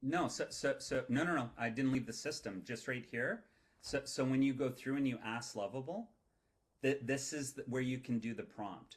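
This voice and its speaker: This somewhat breathy voice moves at a moderate pace with ordinary pitch variation. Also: man, medium pitch for a man. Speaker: presenter of AI workshop. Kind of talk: online workshop presentation with Q&A. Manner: repetitive, halting starts.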